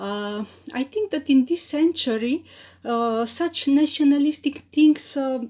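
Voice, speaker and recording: Woman with a Macedonian accent, high in pitch and dark, mellow in tone, with ordinary pitch variation at a fairly slow pace. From North Macedonia. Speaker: poet. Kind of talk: interview. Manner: halting, many fillers.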